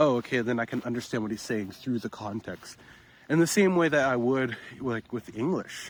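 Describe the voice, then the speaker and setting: With an American accent, a man speaks in a normal speaking voice at a medium pitch, keeping a moderate pace and ordinary pitch variation. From United States. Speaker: English-learning vlogger. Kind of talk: walk-and-talk vlog. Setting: outdoors walking. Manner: casual, filler-heavy.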